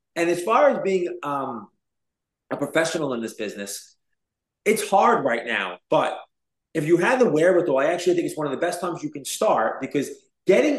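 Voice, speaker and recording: With an American accent, a man speaks fairly quickly in a fairly high pitch, a plain, everyday voice. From US, Brooklyn, New York. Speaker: real estate entrepreneur. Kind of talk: interview.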